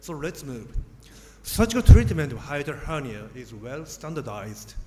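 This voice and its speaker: A man with a fairly high-pitched voice speaks in a space with audible room echo. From Japan. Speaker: surgeon, professor. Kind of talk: lecture. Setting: conference stage with audience.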